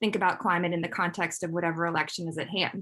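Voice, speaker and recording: Speaking at a very fast pace, a woman has a bright, sharp tone. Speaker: climate communicator. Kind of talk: conference talk.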